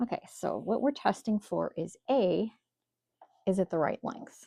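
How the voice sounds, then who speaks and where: A woman's fairly high voice with vocal fry and a dark, mellow tone, in a Minnesotan accent, with lively intonation at a fairly slow pace, in a dry, close sound with no echo. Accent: Minnesota. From Minnesota, US. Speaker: quilting instructor. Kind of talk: tutorial. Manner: casual, conversational.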